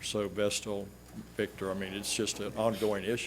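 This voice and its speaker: Audible room echo surrounds a man speaking with an American accent. His fairly low pitch stays monotone and flat at a moderate pace. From South Texas. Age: 70s. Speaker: resident speaking at public comment. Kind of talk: public comment at city council meeting. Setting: city commission meeting chamber.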